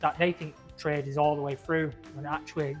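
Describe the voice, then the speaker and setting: Music plays in the background. The intonation is monotone and flat. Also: man. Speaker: pizza maker, podcast host. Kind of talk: casual interview chat.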